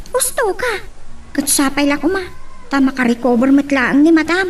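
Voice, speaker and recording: Using a put-on character voice, a woman speaks high and with lively intonation at a moderate pace, over clear background noise. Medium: audio drama. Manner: warm, jovial.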